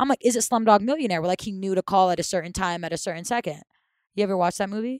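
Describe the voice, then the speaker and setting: On a very clean recording with a silent background and a dry, close sound with no echo, a woman speaks at a very fast pace with a medium pitch and ordinary pitch variation. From Saudi Arabia. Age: 20s. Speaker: radio host. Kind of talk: casual chat.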